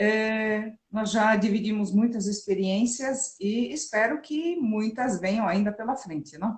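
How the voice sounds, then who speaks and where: A woman's fairly high, somewhat breathy voice at a very slow pace, with ordinary pitch variation and hardly any pauses. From Germany. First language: German (speaking Portuguese). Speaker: physical education professor. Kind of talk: interview.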